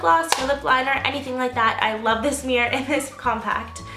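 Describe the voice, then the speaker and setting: A woman speaks in a high, raised, projected voice with ordinary pitch variation. Noticeable background noise can be heard. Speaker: beauty vlogger. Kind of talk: casual talk to camera, product review.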